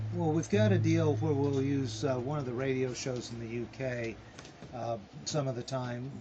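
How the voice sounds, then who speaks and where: Over noticeable background noise and audible room echo, a man speaks at medium pitch and a moderate pace with fairly even intonation. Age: 60s. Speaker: podcast creator. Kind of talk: interview. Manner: halting.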